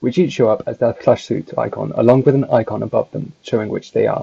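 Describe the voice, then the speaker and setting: A man talks at a very fast pace. He has a British accent. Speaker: gaming guide creator. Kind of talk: game tutorial narration.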